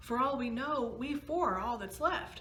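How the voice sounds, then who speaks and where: A woman puts on a character voice at a high pitch with ordinary pitch variation. Her pace is moderate, and clear background noise is present. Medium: read story. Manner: smug.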